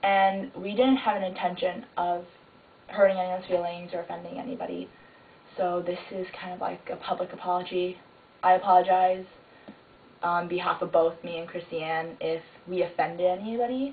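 Over noticeable background noise, a woman talks at a moderate pace, her loudness swinging widely. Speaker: video blogger. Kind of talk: vlog apology. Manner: casual.

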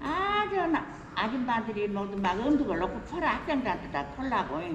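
There is noticeable background noise as a woman with a fairly high pitch talks at a moderate pace, her voice making very wide pitch swings. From South Jeolla, Korea. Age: 80s+. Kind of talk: interview answer. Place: station. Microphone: camera far.

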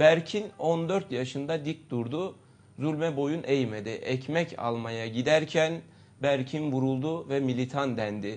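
Here a man talks very slowly. His voice sits fairly high and shows ordinary pitch variation. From Istanbul, Turkey. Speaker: politician, party candidate. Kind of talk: political interview. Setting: studio. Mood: earnest, critical political argument. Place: studio.

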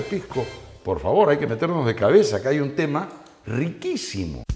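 A man at a moderate pace, with faint music in the background. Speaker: TV host. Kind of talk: conversational explanation to guest.

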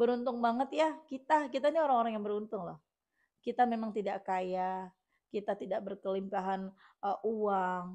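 Against a quiet background, a woman with a dark, mellow tone speaks at a moderate pace. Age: 30s. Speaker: religious YouTuber and author; religious YouTuber. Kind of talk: reading listener testimonials with commentary. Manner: casual chatty. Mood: warm, encouraging. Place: home room. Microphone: lapel.

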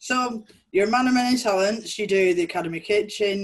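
A woman talks at a moderate pace against a quiet background. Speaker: volunteer interviewer. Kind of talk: casual interview. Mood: friendly, upbeat. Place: home room. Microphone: video call.

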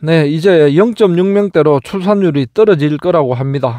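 With a dark, mellow tone, this man talks fairly slowly. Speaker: YouTuber revisiting his old army base. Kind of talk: vlog narration.

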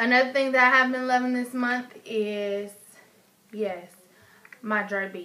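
A woman's high-pitched voice in an American accent, fairly slow, with fairly even intonation and long, frequent pauses. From Chicago. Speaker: beauty vlogger. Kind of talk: casual product review vlog; casual vlog chat. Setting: home recording on iPad. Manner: casual, frequent fillers. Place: home room. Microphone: webcam.

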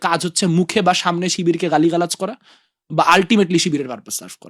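High for a man, his voice holds fairly even intonation in a dry, close sound with no echo on a very clean recording with a silent background. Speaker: student political leader. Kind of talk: interview.

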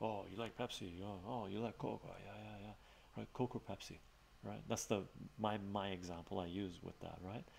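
A soft-spoken man with an Armenian accent, fairly low pitch, moderate pace and light background noise. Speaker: live streamer. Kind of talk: casual chat. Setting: live stream. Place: home room.

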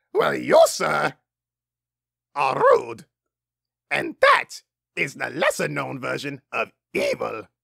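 A man uses a raspy, cartoonish character voice at a fairly slow pace with long, frequent pauses. The sound is dry and close with no echo. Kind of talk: cartoon voice impression. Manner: enthusiastic, rambling, goofy.

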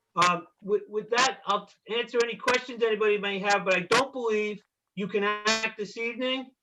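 A man projects a raised voice at a high pitch with a bright, sharp tone. His intonation stays fairly even at a moderate pace. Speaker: attorney for neighbors. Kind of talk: public hearing argument.

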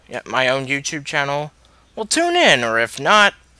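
Quiet and dry with no echo, a man's voice. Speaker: youtuber. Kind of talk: casual talk to camera. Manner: quiet, subdued.

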